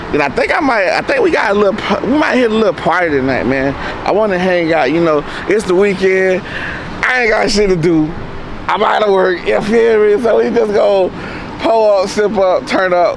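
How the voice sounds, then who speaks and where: Lively intonation at a moderate pace, very even in loudness, with noticeable background noise and audible room echo. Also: man, high pitch for a man. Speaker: vlogger. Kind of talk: casual vlog chat. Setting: outdoors.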